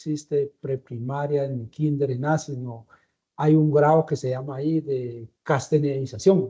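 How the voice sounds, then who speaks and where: Somewhat breathy and dark, mellow in tone, a man with a Guatemalan accent speaks at a moderate pace with a fairly high pitch and fairly even intonation. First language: Tz'utujil (speaking Spanish). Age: 60s. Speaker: interviewee. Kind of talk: interview. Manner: halting.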